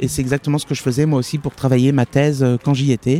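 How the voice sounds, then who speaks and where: The man's voice sits fairly high in pitch with a dark, mellow tone, and the sound is dry and close with no echo. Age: young. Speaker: bookseller. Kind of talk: interview conversation. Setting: outdoors in a park. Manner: hesitant, many fillers.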